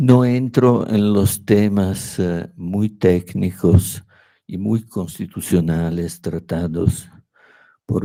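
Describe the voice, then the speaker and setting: Speaking at a very slow pace in an Italian accent, a man has a very deep, low pitch and a dark, mellow tone. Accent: non-native Spanish, Italian. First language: Italian (speaking Spanish). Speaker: law professor. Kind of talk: academic lecture. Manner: halting, with hesitations.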